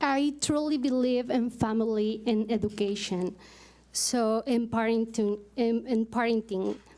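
A woman with a Mexican accent speaks at a fairly slow pace in a fairly high pitch, her dark, mellow tone held at very even loudness with fairly even intonation. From Mexico. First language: Spanish. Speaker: parent advisory committee co-chair; parent giving public comment. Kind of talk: public address at a meeting. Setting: school board meeting. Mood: grateful, slightly nervous. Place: hall. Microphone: podium.

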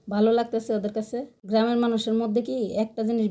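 A woman's fairly high voice with a dark, mellow tone. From Bangladesh, Brahmanbaria region. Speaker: cooking and village-life vlogger. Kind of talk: casual vlog narration. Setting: outdoors in a village.

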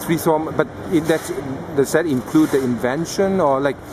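At a moderate pace, the speech is accompanied by noticeable noise in the background. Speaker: tech video interviewer. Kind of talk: interview. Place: hall.

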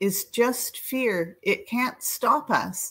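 Against a quiet background, a woman with a Canadian accent talks with ordinary pitch variation. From Canada. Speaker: children's charity advisor. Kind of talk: encouraging feedback. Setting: video call. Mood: warm, encouraging. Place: home room.

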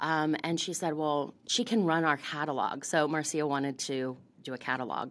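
The speaker has an American accent and fairly even intonation. The pace is fairly slow. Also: woman. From US South, Florida. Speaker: beauty industry founder and CEO; podcast guest. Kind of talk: interview. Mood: warm, reflective. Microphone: studio mic.

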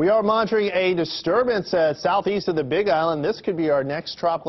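A man talks at a fairly quick pace with hardly any pauses. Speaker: TV meteorologist. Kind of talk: local TV weather forecast, explaining a tropical disturbance on the map. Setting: TV studio. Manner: conversational, plain-spoken explainer with small hesitations; steady, reassuring broadcast delivery. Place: studio.

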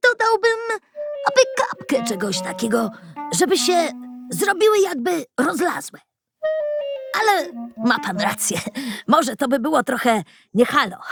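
Putting on a character voice, a woman speaks at a moderate pace with long, frequent pauses while faint music plays in the background. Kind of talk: rustic colloquial speech. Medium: read story. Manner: folksy, chuckling.

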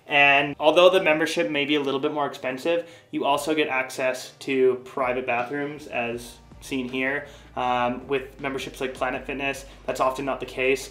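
A man's monotone, flat intonation over faint music in the background. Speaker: van-life vlogger. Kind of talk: casual vlog chat. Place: bathroom. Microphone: camera far.

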